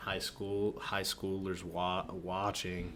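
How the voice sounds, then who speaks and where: With audible room echo, a man in an American accent speaks at a very slow pace and a fairly low pitch. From Philadelphia, US. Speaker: podcast co-host, college student. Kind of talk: casual chat.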